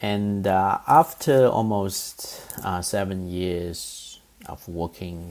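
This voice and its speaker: A man with a slight Chinese accent speaks with a very deep, low pitch. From eastern China, Zhejiang. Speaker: professor. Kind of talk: lecture. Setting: recorded online course. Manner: halting, many fillers.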